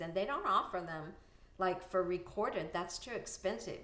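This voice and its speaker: A woman speaks at a medium pitch with audible room echo. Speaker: anesthesia billing consultant and conference speaker. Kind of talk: casual video talk with screen share.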